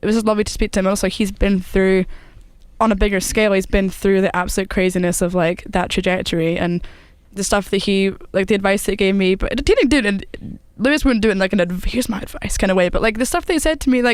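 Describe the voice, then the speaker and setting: A woman's very fast voice in a Scottish accent, medium in pitch, with ordinary pitch variation. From Scotland. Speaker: singer-songwriter. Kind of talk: casual interview chat.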